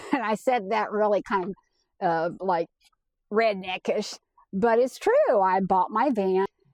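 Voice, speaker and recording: Using a normal speaking voice, a woman talks at a fairly slow pace with a medium pitch and ordinary pitch variation, in a dry, close sound with no echo. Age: 60s. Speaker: van life vlogger. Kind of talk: casual monologue.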